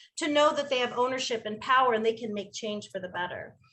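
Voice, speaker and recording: A woman with a high voice speaks with ordinary pitch variation. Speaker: middle school social studies teacher. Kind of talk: panel discussion. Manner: fast.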